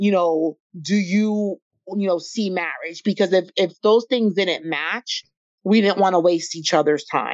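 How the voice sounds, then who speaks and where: A woman of medium pitch talks at a fairly slow pace with ordinary pitch variation in a plain, everyday voice. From US Virgin Islands, moved to US. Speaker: podcast guest, job coach. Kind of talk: casual interview.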